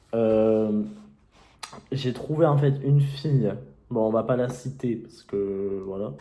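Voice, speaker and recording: A man at a fairly slow pace, with ordinary pitch variation and audible room echo. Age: young. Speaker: YouTuber and self-published author. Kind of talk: casual vlog tutorial. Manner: hesitant, many fillers.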